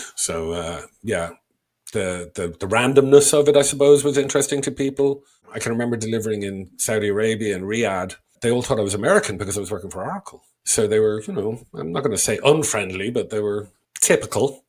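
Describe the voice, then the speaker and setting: Very fast speech comes from a man at a medium pitch. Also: ordinary pitch variation. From Ireland, Dublin. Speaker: sales trainer and author. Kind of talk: podcast interview, casual storytelling.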